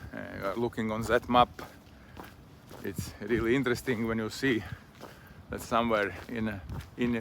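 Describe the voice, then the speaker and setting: There is noticeable background noise behind this man. He speaks with a Latvian accent at medium pitch and a fairly slow pace. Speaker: vlogger. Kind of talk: casual monologue while walking. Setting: outdoors on a walk. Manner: halting.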